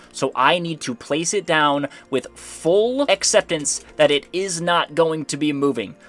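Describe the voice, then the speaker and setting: A man with a fairly high pitch and lively intonation at a fairly slow pace, with music in the background and a dry, close sound with no echo. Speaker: gaming youtuber. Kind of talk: gameplay commentary. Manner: animated.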